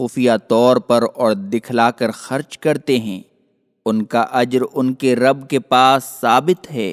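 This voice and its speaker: A man at medium pitch, his sound dry and close with no echo. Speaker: voice-over artist. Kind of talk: religious scripture translation reading.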